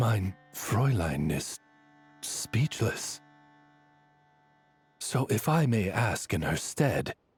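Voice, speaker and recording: Using a put-on character voice, a man speaks at a very slow pace and fairly low pitch on a very clean recording with a silent background. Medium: video game. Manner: formal, courtly.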